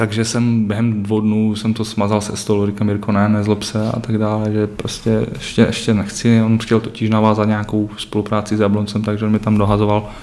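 A man with a fairly low pitch talks in a monotone, flat way at a fairly quick pace, hardly pausing. Noticeable background noise runs underneath. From Czech Republic, Třinec (northern Moravia/Silesia). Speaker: youth ice hockey coach. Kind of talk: podcast interview.

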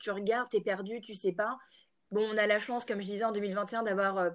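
A woman with a plain, everyday voice talks at a fairly quick pace, her pitch sitting in the medium range. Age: 20s. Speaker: entrepreneur, natural cosmetics brand founder. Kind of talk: casual interview chat.

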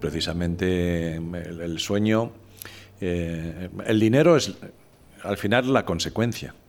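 Music plays in the background as a man speaks at a very slow pace with long, frequent pauses. His voice is very deep and low, with ordinary pitch variation. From Spain, Madrid. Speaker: former corporate executive and communicator. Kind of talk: podcast interview.

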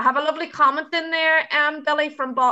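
A woman talks at a fairly quick pace. She has an Irish accent. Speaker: youth project podcast host. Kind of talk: podcast interview moderation.

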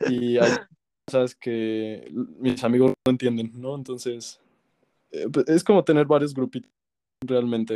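This man talks very slowly in a Mexican accent, with long, frequent pauses, a medium pitch, fairly even intonation, a dark, mellow tone and a dry, close sound with no echo. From Mexico. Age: 20s. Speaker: singer and music producer. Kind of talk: casual interview.

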